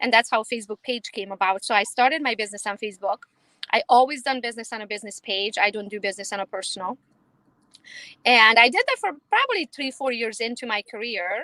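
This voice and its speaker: Talking with a Romanian accent, a woman speaks at a very fast pace with a bright, sharp tone and fairly high pitch. Her pitch variation is ordinary, and the sound is dry and close with no echo. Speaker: realtor. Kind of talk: interview.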